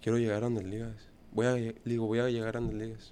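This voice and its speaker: Medium in pitch, a man speaks at a moderate pace. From Monterrey, northern Mexico. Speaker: professional baseball player. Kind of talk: interview. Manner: halting, many fillers.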